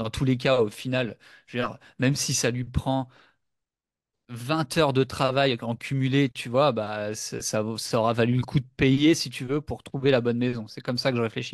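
Over a quiet background, a man of medium pitch speaks at a moderate pace in a monotone, flat intonation, the sound dry and close with no echo. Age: 30s. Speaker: entrepreneur podcast co-host. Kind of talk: casual chat.

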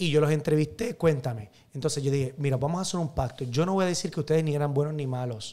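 A man with a Puerto Rican accent speaks at a fairly high pitch in a dark, mellow tone, somewhat breathy, with ordinary pitch variation. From Puerto Rico, Carolina; Puerto Rico. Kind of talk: casual interview chat. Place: studio. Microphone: studio mic.

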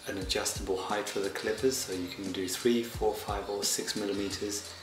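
A man's fairly low voice at a moderate pace with ordinary pitch variation, audible room echo and noticeable background noise. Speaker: product reviewer. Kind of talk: product review talk.

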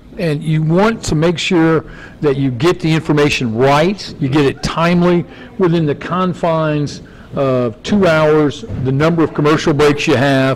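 Using an ordinary speaking voice, a man talks at a fairly high pitch and a fairly slow pace, with ordinary pitch variation and very even loudness. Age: 60s. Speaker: sports radio host and coach; sports radio host, coach. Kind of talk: casual interview chat; interview answer. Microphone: handheld.

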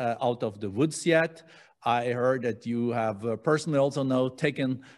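Over a quiet background, a man speaks at a fairly slow pace with fairly even intonation. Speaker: host moderator. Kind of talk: interview question. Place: studio. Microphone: studio mic.

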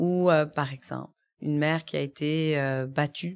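Her pitch varies in an ordinary way. This woman is heard against a quiet background. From Quebec. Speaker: family and youth lawyer; youth lawyer. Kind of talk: interview. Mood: earnest, concerned. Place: studio. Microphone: studio mic.

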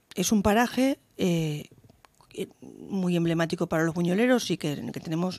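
Fairly slow, lively female speech with a dark, mellow tone and a dry sound with no echo. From Valencia region, Spain. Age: 50s. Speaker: mayor. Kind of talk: radio interview. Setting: radio studio. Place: studio. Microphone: studio mic.

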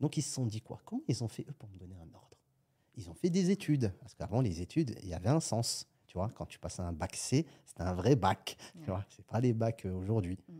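A man's somewhat breathy, fairly low voice with a dark, mellow tone, moderate pace, very wide pitch swings and big swings in loudness. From France, Algerian family. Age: 30s. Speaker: entrepreneur. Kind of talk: casual interview.

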